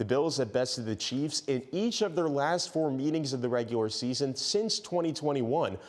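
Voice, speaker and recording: Using a plain, everyday voice with lively intonation, a man speaks at a fairly high pitch and a moderate pace, with very even loudness and hardly any pauses. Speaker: TV sports reporter and anchor. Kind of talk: sports news anchor read.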